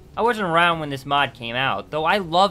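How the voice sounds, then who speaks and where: Music plays in the background as a man speaks. His pitch is fairly high and his pace fairly quick. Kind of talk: video game review narration. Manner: casual, humorous.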